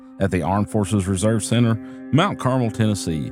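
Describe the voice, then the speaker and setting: A man with a medium-pitched voice speaks over music in the background. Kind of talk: event promo read.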